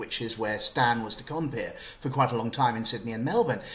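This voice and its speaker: A man speaks with an English accent. His voice sits at medium pitch with ordinary pitch variation. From UK. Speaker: journalist and author. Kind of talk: interview.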